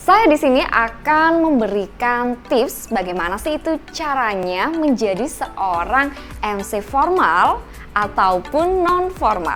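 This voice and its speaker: A woman with a high, shrill voice speaks very slowly, her pitch swinging very widely, with music playing in the background. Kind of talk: cheerful presenter.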